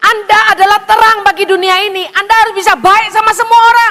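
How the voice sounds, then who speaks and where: Raising and projecting her voice, a woman with a Javanese accent speaks at an extremely high pitch and a moderate pace. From Indonesia, Chinese-Indonesian descent. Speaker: evangelist preacher. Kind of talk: sermon.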